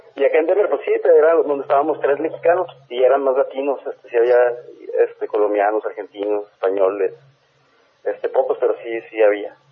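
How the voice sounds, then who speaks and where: A man at a fairly quick pace, broken by long, frequent pauses. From Ciudad Juárez, Mexico. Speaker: film director. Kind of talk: interview. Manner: halting.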